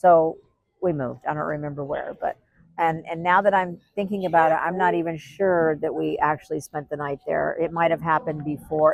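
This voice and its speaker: On a very clean recording with a silent background, a woman with a plain, everyday voice speaks fairly quickly at a fairly low pitch with ordinary pitch variation. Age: 60s. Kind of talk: interview answer.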